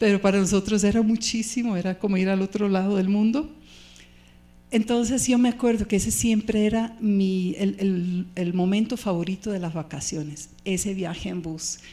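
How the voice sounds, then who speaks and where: A woman's medium-pitched voice with a dark, mellow tone, a moderate pace and ordinary pitch variation. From Switzerland. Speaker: pastor. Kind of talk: sermon.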